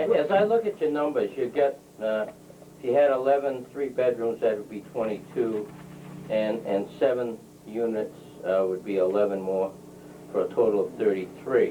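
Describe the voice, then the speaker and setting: Amid noticeable background noise, a man at a medium pitch speaks at a moderate pace with lively intonation and long, frequent pauses. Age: 60s. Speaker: planning board member. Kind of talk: public hearing questioning.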